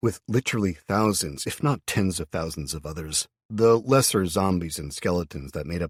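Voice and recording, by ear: A natural voice reads aloud while the background stays quiet.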